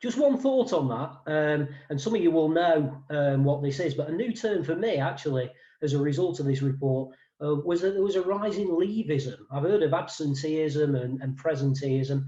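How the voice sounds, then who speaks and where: Somewhat breathy and fairly high in pitch, a man speaks with a slight East Midlands accent and a dark, mellow tone. His pace is moderate and his pitch variation ordinary. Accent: slight East Midlands twang. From England, Mansfield, Nottinghamshire. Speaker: wellbeing consultant. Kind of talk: webinar presentation. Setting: video call. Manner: hesitant, many fillers.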